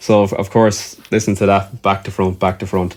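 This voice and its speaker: A fairly low-pitched man with an Irish accent, on a very clean recording with a silent background. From Ireland. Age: 40s. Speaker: musician. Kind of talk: casual chat. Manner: halting, with frequent repetitions.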